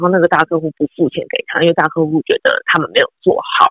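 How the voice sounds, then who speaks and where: The sound is dry and close, without any echo. A woman's speech moves at a fairly quick clip. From Taiwan. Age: 30s. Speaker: former TV news journalist and anchor. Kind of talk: casual interview.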